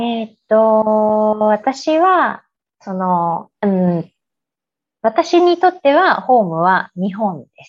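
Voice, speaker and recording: A woman speaks at a very slow pace in a fairly high pitch, with very wide pitch swings and big swings in loudness. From Japan (Aichi, Yokohama), teens in Chicago. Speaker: interview guest. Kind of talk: interview.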